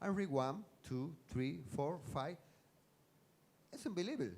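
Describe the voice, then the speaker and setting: A man's fairly high voice with a Spanish accent and very wide pitch swings. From Cuba, Havana. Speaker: science fiction writer. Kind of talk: stage interview. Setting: stage with audience. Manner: halting.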